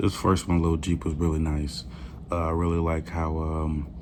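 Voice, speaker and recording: A man speaks quietly with a very deep, low pitch. His intonation is fairly even, and there is audible room echo. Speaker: music reaction youtuber. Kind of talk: casual reaction video. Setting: living room at home. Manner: halting, many fillers.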